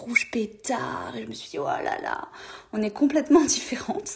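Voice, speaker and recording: With very wide pitch swings, a woman talks fairly slowly. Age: 20s. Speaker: friend of the host, trainee social worker. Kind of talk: recorded voice message testimony. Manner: hesitant, many fillers.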